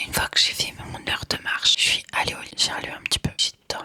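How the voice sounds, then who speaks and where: Noticeable background noise accompanies a woman whispering. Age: 20s. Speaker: lifestyle vlogger. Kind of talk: vlog monologue. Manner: casual.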